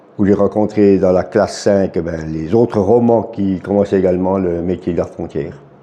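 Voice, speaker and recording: Over noticeable background noise, a man with a very deep, low pitch speaks at a moderate pace with fairly even intonation and hardly any pauses. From Switzerland, Jura. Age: 60s. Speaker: retired border guard. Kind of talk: interview.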